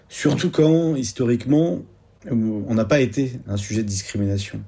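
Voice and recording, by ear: This man has a medium-pitched voice with a dark, mellow tone. He talks at a moderate pace with lively intonation.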